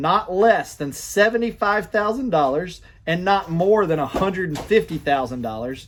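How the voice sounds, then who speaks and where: A man with an Alabama accent speaks at a moderate pace and a high pitch. His tone is animated, with very wide pitch swings. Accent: Alabama, affects pronunciation. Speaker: gun rights commentator. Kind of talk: political commentary monologue. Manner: halting, many false starts; animated, indignant.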